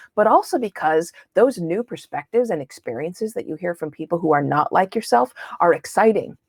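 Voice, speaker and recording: In a dry, close recording with no echo, a woman with a fairly low voice speaks at a fairly quick pace in an animated tone with lively intonation. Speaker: interviewing instructor. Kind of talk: online lecture. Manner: fast.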